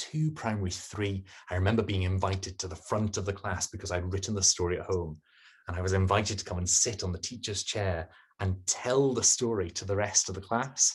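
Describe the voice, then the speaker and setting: With a quiet background behind him, a man with a very deep, low pitch speaks at a fairly quick pace, somewhat breathy, his intonation fairly even. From Scotland (English parents). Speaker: poet and performer. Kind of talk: interview.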